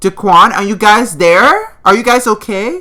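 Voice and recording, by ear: A man's put-on character voice, high-pitched, bright and sharp, with big pitch swings. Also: fairly slow pace.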